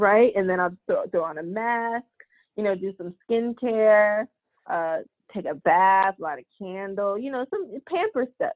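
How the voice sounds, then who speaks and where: This is a normal speaking voice, moving at a fairly slow pace with lively intonation. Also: woman, medium pitch for a woman. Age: 20s. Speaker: licensed practical nurse. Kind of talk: casual chat.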